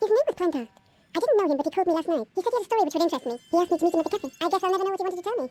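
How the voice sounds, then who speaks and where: In a squeaky, put-on character voice pitched extremely high, a woman speaks very fast with lively intonation. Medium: video game. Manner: crisp, no-nonsense.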